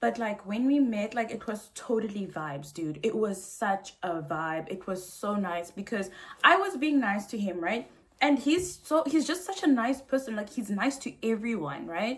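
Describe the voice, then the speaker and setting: Through noticeable background noise, a woman speaks at a moderate pace in a fairly high voice with very wide pitch swings. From South Africa. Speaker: vlogger. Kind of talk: casual storytime rant. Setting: hotel room. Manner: animated; loud.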